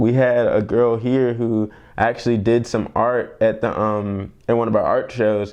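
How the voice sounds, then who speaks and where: A man speaks in a medium pitch with an American accent. His intonation is monotone and flat. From Columbia, South Carolina, USA. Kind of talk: oral history interview answer. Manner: casual, conversational, informal.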